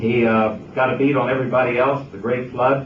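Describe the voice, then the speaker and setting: Over noticeable background noise, a man talks at a moderate pace. His pitch is medium, his intonation fairly even. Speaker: broadcaster. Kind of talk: humorous speech at retirement party.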